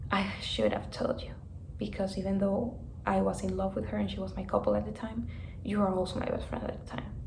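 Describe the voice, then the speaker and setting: A woman speaks with a Spanish accent amid audible room echo and noticeable background noise. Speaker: vlogger. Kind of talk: personal vlog storytelling. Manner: casual, filler-heavy.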